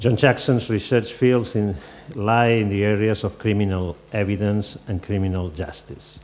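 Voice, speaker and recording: The voice keeps a moderate pace with ordinary pitch variation. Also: man, fairly low pitch for a man. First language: Catalan or Spanish. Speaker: academic event organizer; workshop host introducing speaker. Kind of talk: formal introduction. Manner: formal. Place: hall. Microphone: podium.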